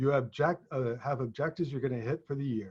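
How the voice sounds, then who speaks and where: Somewhat breathy, a man with an American accent talks at a very fast pace. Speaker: leadership consultant. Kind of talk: casual discussion.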